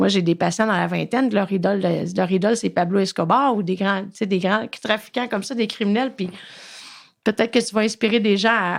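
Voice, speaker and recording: Her fairly even intonation and moderate pace come through as a woman speaks at a medium pitch, in a very clean recording with a silent background. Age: 40s. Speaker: podcast host and addiction therapist. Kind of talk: interview.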